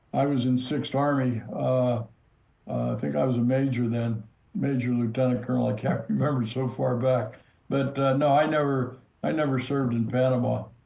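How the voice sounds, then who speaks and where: Somewhat breathy at a medium pitch, a man speaks with very even loudness, and audible room echo is present. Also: fairly even intonation, moderate pace. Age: 80s+. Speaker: retired army general. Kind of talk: interview.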